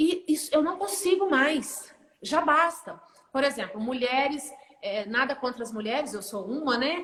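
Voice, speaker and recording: A woman's high voice with lively intonation. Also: fairly slow pace. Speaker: therapist. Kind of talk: casual chat. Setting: livestream.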